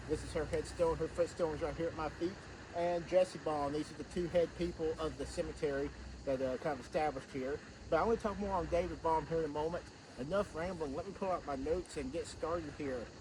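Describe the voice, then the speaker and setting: Over noticeable background noise, a man talks at a very fast pace. His pitch is fairly high, with fairly even intonation. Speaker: historian, video host. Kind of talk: outdoor history tour talk. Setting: outdoors in the woods, cemetery. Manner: loud, projecting.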